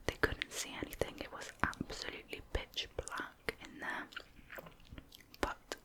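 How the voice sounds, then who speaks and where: Over noticeable background noise, a whisper unfolds fairly slowly. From United Kingdom. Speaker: ASMR creator. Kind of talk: true crime narration. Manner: soft-spoken.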